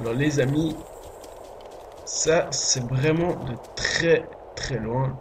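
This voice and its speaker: A man at a very slow pace with fairly even intonation and long, frequent pauses, amid noticeable background noise and audible room echo. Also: fairly high pitch for a man. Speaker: gaming youtuber. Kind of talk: gameplay commentary. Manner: whispering a bit; hesitant, many fillers. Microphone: voice quiet, game audio too loud.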